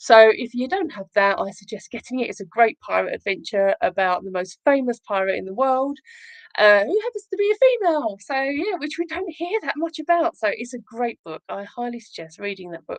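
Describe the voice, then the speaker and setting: A woman speaks at a high pitch and a fairly quick pace, with very wide pitch swings and big swings in loudness. The sound is dry and close, with no echo. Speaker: children's author and livestream host. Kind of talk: casual livestream chat. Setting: livestream. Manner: fast.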